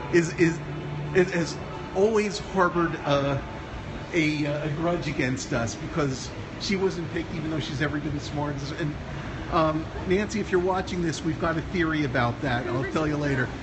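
A moderate pace over noticeable background noise. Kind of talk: casual vlog chat. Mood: joking, relaxed. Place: hall. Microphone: phone near.

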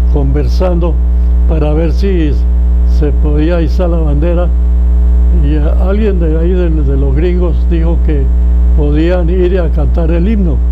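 A man at a fairly slow pace, with long, frequent pauses and noticeable background noise. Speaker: photojournalist. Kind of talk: eyewitness account at a forum. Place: meeting room. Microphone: lapel.

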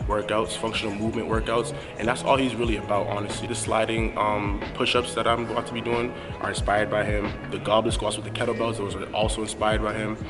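A man talks very fast as clear music plays behind him. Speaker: fitness vlogger. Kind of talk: casual vlog chat. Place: gym. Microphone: earbuds.

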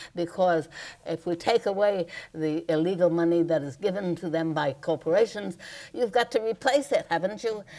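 A woman's fairly low voice with a dark, mellow tone. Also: ordinary pitch variation, moderate pace. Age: 80s+. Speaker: political activist. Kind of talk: public speech. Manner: passionate.

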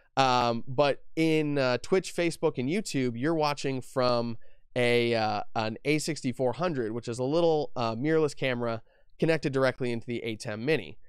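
Here a man talks at a moderate pace. The sound is dry with no echo, and the background is quiet. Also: ordinary pitch variation. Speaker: live stream host. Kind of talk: tutorial. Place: home room. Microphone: studio mic.

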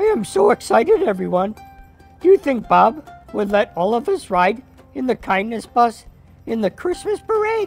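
A cartoonish character voice, fairly high in pitch, at a moderate pace over faint music in the background. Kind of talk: children's puppet show. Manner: excited.

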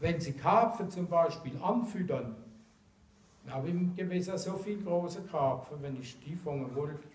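Speaking in a Mannheim accent, a man uses a fairly high pitch with ordinary pitch variation at a moderate pace, with audible room echo. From Mannheim, Germany. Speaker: angler. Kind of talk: casual explanation to camera. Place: classroom. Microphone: camera far.

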